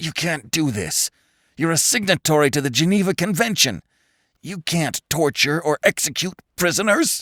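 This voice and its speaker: A man does a growling put-on character voice at a fairly high pitch with lively intonation and a moderate pace. The recording is very clean with a silent background and a dry, close sound with no echo. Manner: growling through gritted teeth.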